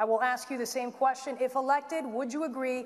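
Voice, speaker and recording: A woman's high-pitched voice keeps a fairly even intonation. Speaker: TV news anchor moderating forum. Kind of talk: debate moderation. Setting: school auditorium with audience. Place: hall.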